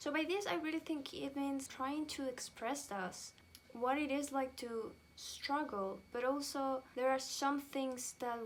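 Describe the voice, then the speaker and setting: A woman with a non-native accent, high pitch, ordinary pitch variation and a fairly slow pace. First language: not English. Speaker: music reviewer. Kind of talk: casual review vlog.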